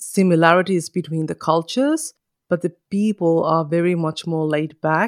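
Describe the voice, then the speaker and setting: The speaker has a Finnish accent. The sound is dry and close with no echo. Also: woman. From northern Finland, Kajaani. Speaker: podcaster and mother. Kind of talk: interview conversation.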